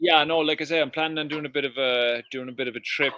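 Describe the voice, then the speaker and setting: This man speaks with a Cork accent. His intonation is fairly even. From Ireland, Cork. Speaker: permaculture educator and restaurant owner. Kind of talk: casual chat. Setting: live stream.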